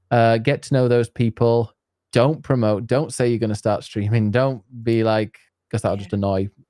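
On a very clean recording with a silent background and a dry, close sound with no echo, a man with a Yorkshire accent speaks at a moderate pace in a dark, mellow tone of medium pitch with fairly even intonation. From northern England, near Leeds and York. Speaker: streamer and English teacher. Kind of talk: casual chat.

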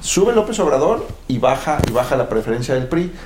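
A man talks at a moderate pace with lively intonation. Room echo can be heard. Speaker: political science professor. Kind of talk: panel discussion.

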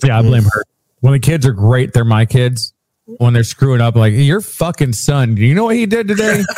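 Somewhat breathy and animated in tone, the voice moves at a fairly quick pace with very even loudness. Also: man, medium pitch for a man. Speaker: podcast host. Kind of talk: casual chat. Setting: live-streamed video podcast.

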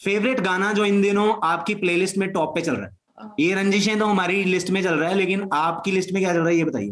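The man's voice sits high in pitch, and his intonation stays fairly even. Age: young. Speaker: podcast host. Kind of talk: interview.

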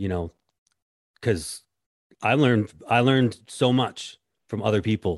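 A man with a fairly low pitch and ordinary pitch variation speaks at a fairly slow pace with long, frequent pauses. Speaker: podcast host and contractor. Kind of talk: casual interview chat.

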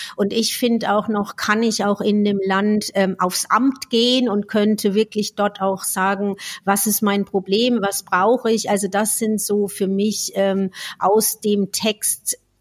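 Her voice sits at a medium pitch, with very even loudness. This woman talks at a very slow pace in a monotone, flat intonation. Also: dry, close sound with no echo, very clean recording, silent background. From Franconia, Germany. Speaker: speech therapist podcast co-host. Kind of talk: casual chat.

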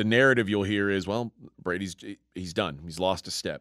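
A man with an ordinary speaking voice talks at a moderate pace and fairly low pitch, recorded very cleanly with a silent background and a dry, close sound with no echo. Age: 40s. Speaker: sports betting podcast co-host. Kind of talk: casual chat.

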